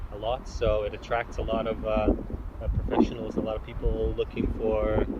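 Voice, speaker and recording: A man talks at a moderate pace. Background noise is noticeable behind him. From Lithuania, small town. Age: 30s. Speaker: podcast guest. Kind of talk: casual interview chat. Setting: outdoors on a viewpoint. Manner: hesitant, many fillers.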